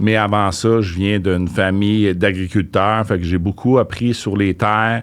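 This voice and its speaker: With a plain, everyday voice, a man of fairly low pitch talks at a moderate pace with fairly even intonation. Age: 50s. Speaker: real estate investor. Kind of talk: interview.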